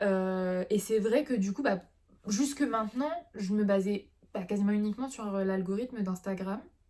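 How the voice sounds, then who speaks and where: Over noticeable background noise, a woman talks at a medium pitch and a fairly slow pace. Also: ordinary pitch variation. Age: 20s. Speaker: illustrator. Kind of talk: casual talk to camera.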